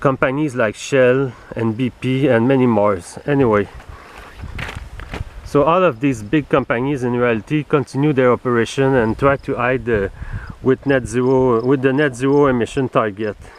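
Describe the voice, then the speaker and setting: Medium-pitched male voice at a moderate pace over noticeable background noise. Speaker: vlogger. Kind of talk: commentary monologue. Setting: outdoors. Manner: halting. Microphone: cheap camera.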